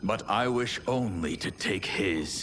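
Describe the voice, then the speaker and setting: Putting on a character voice, a man talks at a fairly low pitch and a fairly slow pace over clear background noise. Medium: short film. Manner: formal, archaic.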